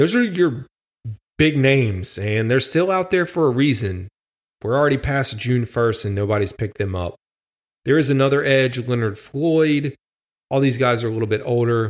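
The recording is very clean, with a silent background. A man speaks in an unremarkable speaking voice. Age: 30s. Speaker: sports podcast host. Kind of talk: solo podcast commentary.

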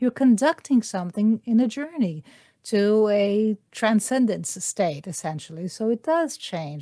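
With a Brazilian accent, a woman speaks at a fairly slow pace and a fairly high pitch, her tone dark and mellow. Her pitch swings very widely, and the sound is dry and close with no echo. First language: Portuguese. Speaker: interpreter and voice actor. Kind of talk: interview.

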